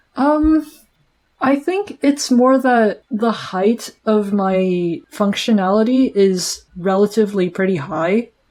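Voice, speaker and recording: A woman speaks very slowly in a fairly high pitch. Her intonation is lively and her loudness stays very even. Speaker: podcast host. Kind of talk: casual chat. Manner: halting.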